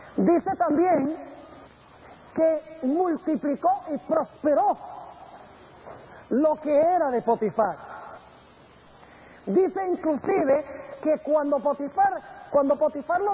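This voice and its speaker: Over noticeable background noise, a man with an extremely high pitch speaks at a very slow pace, with ordinary pitch variation and long, frequent pauses. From grew up in Colombia and Venezuela. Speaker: pastor. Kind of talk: sermon.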